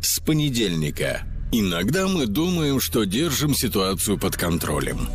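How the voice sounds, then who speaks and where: With music in the background, a man speaks as his pitch rises and falls very widely. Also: medium pitch for a man, fairly slow pace, very even loudness. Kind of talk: TV promo announcement.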